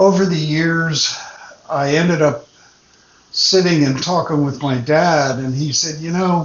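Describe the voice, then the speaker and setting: Noticeable background noise surrounds a man with a fairly high pitch. He speaks fairly slowly with ordinary pitch variation. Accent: American. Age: 70s. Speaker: retired teacher. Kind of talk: personal storytelling. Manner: conversational.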